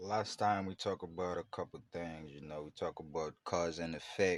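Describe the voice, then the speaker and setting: With a strong Haitian accent, a man speaks in a very deep, low voice. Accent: Haitian accent, fairly strong. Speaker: podcast host. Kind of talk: casual monologue. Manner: casual, filler-heavy, repetitive.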